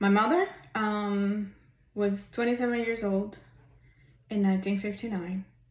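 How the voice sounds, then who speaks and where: A somewhat breathy voice at a fairly slow pace. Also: woman. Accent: Spanish. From Cuba. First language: Spanish. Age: 50s. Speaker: vlogger. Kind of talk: personal testimony. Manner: hesitant, many fillers.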